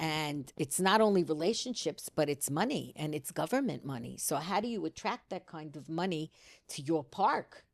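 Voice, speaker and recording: Speaking with a New York accent, a woman has a very deep, low pitch and vocal fry. Her intonation is lively. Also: very clean recording, silent background. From US Northeast, New York City. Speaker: community organizer, grandmother of the host. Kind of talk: casual chat.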